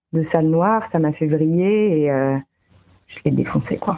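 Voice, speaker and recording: A woman speaks at a very deep, low pitch. Her pace is fairly slow. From France, Franche-Comté (near Besançon). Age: 30s. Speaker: podcast host. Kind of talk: storytelling narration. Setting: at home at night.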